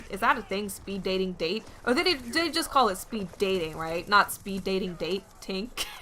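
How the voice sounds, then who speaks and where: A woman's animated, medium-pitched voice with an American accent, lively intonation, a moderate pace, hardly any pauses, and noticeable background noise. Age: 20s. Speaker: gaming YouTuber. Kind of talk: casual vlog talk to camera. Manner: chatty, animated.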